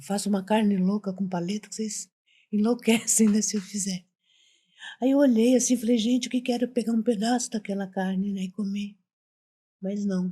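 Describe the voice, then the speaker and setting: At a moderate pace, a woman speaks in a medium-pitched, somewhat breathy voice with a dark, mellow tone and fairly even intonation. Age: 60s. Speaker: retired domestic worker, mother of the host. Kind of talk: casual interview storytelling.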